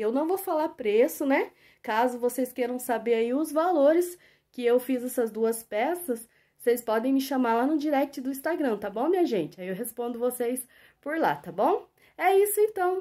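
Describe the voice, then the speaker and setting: Very wide pitch swings mark this woman's high-pitched voice, which has a dark, mellow tone. She speaks at a moderate pace. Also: very clean recording, silent background. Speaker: crochet artisan and YouTuber. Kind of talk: casual vlog tutorial. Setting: home workshop, filming with camera.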